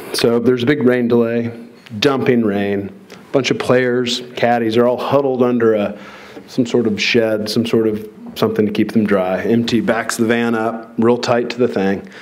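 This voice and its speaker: A man mumbles at a moderate pace in a medium pitch with fairly even intonation, with audible room echo and noticeable background noise. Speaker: professional golfer. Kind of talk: award induction speech. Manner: mumbling.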